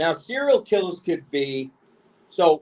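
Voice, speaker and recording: A man with a New York accent talks at a fairly slow pace and a high pitch. His tone is animated and his intonation lively. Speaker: podcast host. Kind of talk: casual chat. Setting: remote recording from home.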